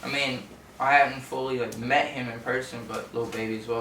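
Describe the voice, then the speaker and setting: A man with an American accent speaks at a moderate pace and a medium pitch. Noticeable background noise and audible room echo are present. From southeast Texas (Orange / Port Arthur). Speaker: rapper. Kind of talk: interview.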